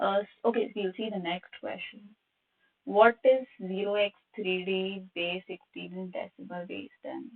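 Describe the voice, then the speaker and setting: Her loudness swinging widely, a woman with an unremarkable speaking voice and medium pitch talks at a fairly slow pace. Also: ordinary pitch variation. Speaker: cybersecurity workshop instructor. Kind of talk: live online tutorial.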